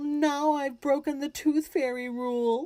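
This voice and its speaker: A woman uses a put-on character voice, high-pitched and at a fairly slow pace. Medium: read story. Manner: soft, gentle.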